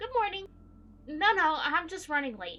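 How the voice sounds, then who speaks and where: A woman uses a squeaky put-on character voice, raised and projected. Her intonation is lively and her pace moderate. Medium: game stream. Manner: polite, slightly flustered.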